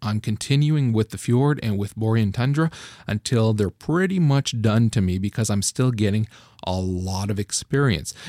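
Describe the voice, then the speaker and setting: Against a silent background in a very clean recording, a man with a dark, mellow tone and medium pitch talks at a moderate pace with lively intonation, the sound dry and close with no echo. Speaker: gaming podcast host. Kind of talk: casual chat.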